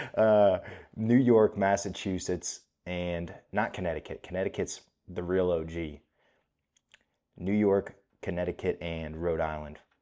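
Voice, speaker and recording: A quiet man's very deep, low voice, dark and mellow in tone, at a fairly slow pace with fairly even intonation and long, frequent pauses, on a very clean recording with a silent background. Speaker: MMA commentary youtuber. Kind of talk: casual chat. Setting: hotel room, on camera. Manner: casual stream of thought.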